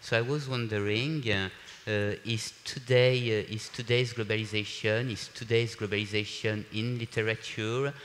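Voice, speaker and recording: Spoken with a French accent at a fairly slow pace, the intonation stays fairly even. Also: man. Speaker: panel moderator. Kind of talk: panel discussion moderation. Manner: halting, many fillers.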